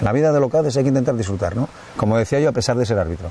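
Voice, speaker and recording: Speaking at a very fast pace with lively intonation, a man is heard in a dry sound with no echo. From Langreo, Asturias, Spain; Asturias, Spain. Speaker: international football referee; guest. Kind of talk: casual chat while hiking. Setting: outdoors on a hiking route. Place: forest. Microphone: lapel.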